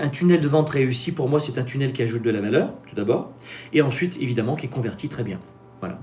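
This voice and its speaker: A man at medium pitch and a fairly quick pace, with music in the background. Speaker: business coach and YouTuber. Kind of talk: live-stream Q&A with sales pitch. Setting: live stream. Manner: fast; animated.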